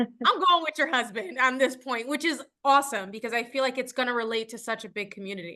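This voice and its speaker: A woman speaks loudly at a very fast pace, her high pitch carrying a bright, sharp, animated tone. The background is quiet. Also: ordinary pitch variation, hardly any pauses. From New York, Puerto Rican. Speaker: actress. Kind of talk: interview.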